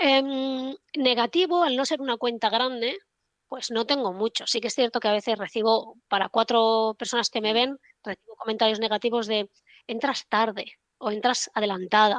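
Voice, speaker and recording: In a normal speaking voice, a woman talks at a moderate pace and fairly high pitch with ordinary pitch variation, the sound dry and close with no echo over a quiet background. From Spain, Barcelona. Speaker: trader. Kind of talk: casual interview chat.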